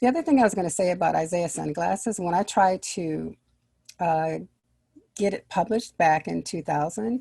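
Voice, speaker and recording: Fairly low, dark, mellow tones from a woman at a moderate pace, with ordinary pitch variation, in a very clean recording with a silent background. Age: 60s. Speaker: children's book author. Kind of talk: interview.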